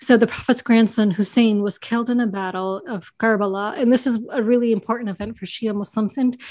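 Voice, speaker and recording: A woman's plain, everyday voice, fairly high in pitch, with an American accent, fairly even intonation and a fairly quick pace over a quiet background. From US, New York. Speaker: board game video creator. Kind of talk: interview.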